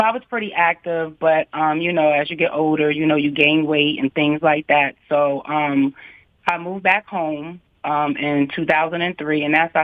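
The speaker uses an American accent, a moderate pace and fairly even intonation. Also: woman. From Harrisburg, Pennsylvania. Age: 50s. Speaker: fitness instructor. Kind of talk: interview. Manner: halting, many fillers.

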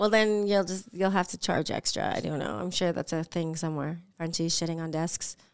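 A woman's unremarkable speaking voice, fairly low in pitch with an American accent, at a fairly quick pace with ordinary pitch variation and hardly any pauses. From US West Coast, San Diego. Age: 40s. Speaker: actress and stand-up comedian. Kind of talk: casual chat.

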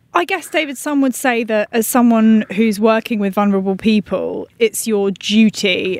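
A woman with a plain, everyday voice at a moderate pace, ordinary pitch variation, dry, close sound with no echo. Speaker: podcast host and health journalist. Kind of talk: conversational interview and discussion.

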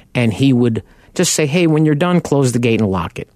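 This man has a dark, mellow tone, a Long Island accent, and ordinary pitch variation. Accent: New York (Long Island). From Long Island, New York. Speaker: car buying advocate and radio host. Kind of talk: radio talk show monologue. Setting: radio studio.

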